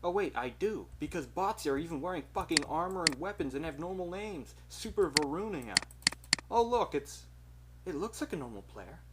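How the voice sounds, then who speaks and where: A man's pitch swings very widely as noticeable background noise plays behind him. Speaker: gaming youtuber. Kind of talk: gameplay commentary. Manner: casual, rambling. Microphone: bad quality microphone.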